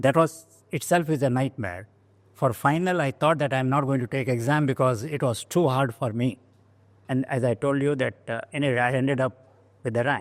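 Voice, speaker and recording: In a Goan accent, a man of medium pitch talks at a moderate pace with ordinary pitch variation on a very clean recording with a silent background. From India, coastal Karnataka village. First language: Konkani. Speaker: engineering alumnus. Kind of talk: oral history interview. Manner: halting.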